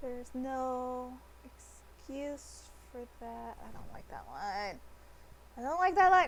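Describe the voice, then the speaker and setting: Speaking very slowly with an American accent, a woman's voice swings widely in loudness amid audible room echo. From United States. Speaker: artist streamer. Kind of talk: casual chat. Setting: live stream. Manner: hesitant, many fillers.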